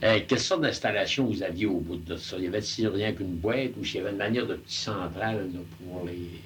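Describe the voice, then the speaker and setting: A fairly low, somewhat breathy man's voice at a fairly quick pace, with hardly any pauses and ordinary pitch variation. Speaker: oral history interviewer. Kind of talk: interviewer questions.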